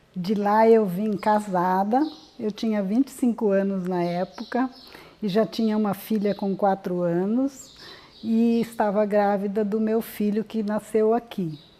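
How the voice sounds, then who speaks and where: Over noticeable background noise, a woman speaks at a fairly slow pace with fairly high pitch and fairly even intonation. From southern Brazil, Rio Grande do Sul (Ijuí). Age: 70s. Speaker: elderly entrepreneur. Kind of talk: personal testimony interview.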